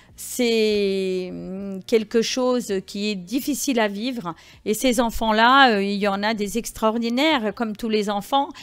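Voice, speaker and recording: Music plays in the background as a woman speaks very slowly at a fairly high pitch, her pitch varying an ordinary amount. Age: 60s. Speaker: rally participant. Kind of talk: interview. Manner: halting.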